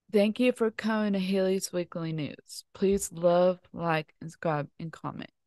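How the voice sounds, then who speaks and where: In a dry, close sound with no echo, a woman speaks at medium pitch in a dark, mellow tone, with ordinary pitch variation, big swings in loudness and hardly any pauses. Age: 30s. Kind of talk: casual chat. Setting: indoors by a fireplace at home.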